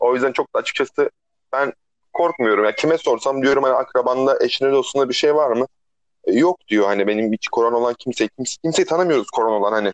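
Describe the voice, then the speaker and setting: A man talks at a very fast pace with very even loudness. The sound is dry and close, with no echo. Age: 30s. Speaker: podcast co-host, barista. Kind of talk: casual chat. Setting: phone call. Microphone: phone line, rough sound.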